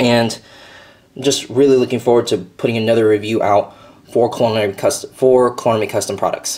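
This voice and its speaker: A raspy, put-on character voice sits at a low-to-middle pitch and moves at a moderate pace. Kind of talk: casual product reviewer. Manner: stuttering, stumbling.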